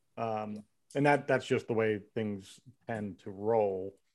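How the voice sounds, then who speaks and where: This man has a normal speaking voice with an American accent, a fairly low pitch and ordinary pitch variation. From Philadelphia area, US. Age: 50s. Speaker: law enforcement officer and army veteran. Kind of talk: casual chat.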